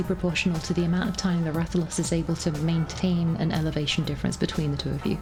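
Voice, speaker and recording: Music plays in the background as a woman speaks at a very fast pace. Her pitch is fairly low. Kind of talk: gameplay commentary. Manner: casual, conversational.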